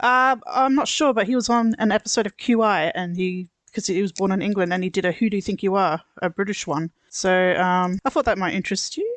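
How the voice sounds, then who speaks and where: Someone with an Australian accent speaks at a fairly quick pace against a quiet background. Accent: mild Australian, once taken for Scottish. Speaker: podcast co-host. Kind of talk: casual chat.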